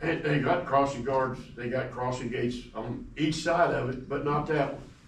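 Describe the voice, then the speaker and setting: A man with an Appalachian accent speaks at a fairly slow pace and fairly high pitch, with ordinary pitch variation, amid noticeable background noise and audible room echo. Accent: Appalachian US Southern. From East Tennessee. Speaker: resident speaking at public comment. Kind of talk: public comment.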